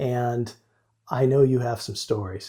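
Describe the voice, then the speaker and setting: In a very clean recording with a silent background, a man with a medium-pitched, somewhat breathy voice and a dark, mellow tone speaks with ordinary pitch variation. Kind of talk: podcast host interview.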